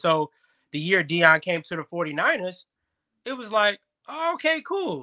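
A raised, projected voice with a bright, sharp tone and lively intonation, dry and close with no echo. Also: man. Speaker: guest, youth football coach and sports media co-host. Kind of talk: casual interview chat. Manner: passionate, animated.

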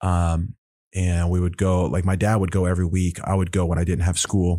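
On a very clean recording with a silent background, a man with an American accent speaks in a very deep, low pitch and a dark, mellow tone. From Oklahoma. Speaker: jiu-jitsu world champion. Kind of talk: casual interview.

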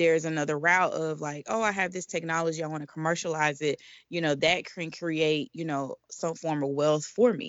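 This woman speaks with an American accent at a moderate pace, her very deep, low pitch held in fairly even intonation. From US South, Atlanta, Georgia. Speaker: inventor support entrepreneur, former patent examiner. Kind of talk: interview. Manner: halting, many fillers.

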